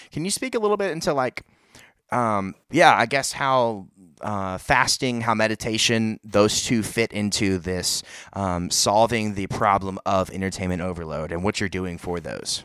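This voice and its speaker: A man speaks at a moderate pace in an ordinary speaking voice, fairly low in pitch, with ordinary pitch variation on a very clean recording with a silent background. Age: young. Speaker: podcast host. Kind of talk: casual chat.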